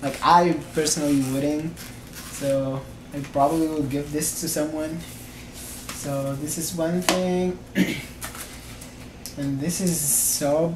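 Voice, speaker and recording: Very slow, flat, monotone delivery with a non-native accent, long and frequent pauses, audible room echo and noticeable background noise. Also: man, fairly high pitch for a man. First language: not English. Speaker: vlogger. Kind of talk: product unboxing review. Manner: casual, hesitant.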